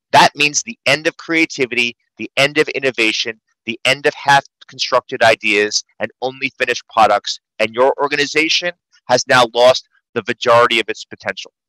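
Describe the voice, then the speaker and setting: With a New York accent, a man speaks at a medium pitch in a bright, sharp tone, with fairly even intonation and a dry, close sound with no echo. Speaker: psychologist and author. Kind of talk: video panel interview. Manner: fast.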